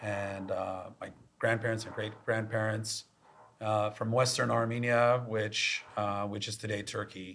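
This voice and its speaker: With an American accent, a man speaks at a fairly slow pace in a fairly low pitch. His intonation is monotone and flat. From US, Los Angeles. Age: 40s. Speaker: tech executive. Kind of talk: podcast interview.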